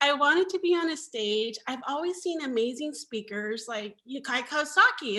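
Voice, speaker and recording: The tone is bright and sharp, with lively intonation. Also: woman. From Mexico, raised in US. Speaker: marketing manager. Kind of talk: interview. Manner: soft-spoken, gentle.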